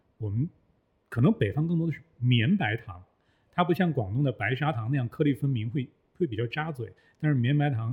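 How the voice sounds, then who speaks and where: This man has a plain, everyday voice at a medium pitch. He talks at a fairly quick pace with ordinary pitch variation. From Northeast China. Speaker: former journalist, voice worker. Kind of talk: casual chat. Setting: studio.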